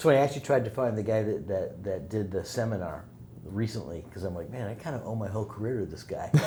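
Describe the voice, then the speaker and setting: Talking at a very fast pace, a man with a fairly low voice uses lively intonation amid audible room echo. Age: 60s. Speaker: music mixer and producer. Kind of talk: casual interview chat.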